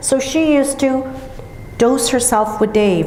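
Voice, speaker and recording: A woman talks at a fairly slow pace. Audible room echo and noticeable background noise surround her voice. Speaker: grief counsellor. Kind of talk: seminar talk. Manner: loud.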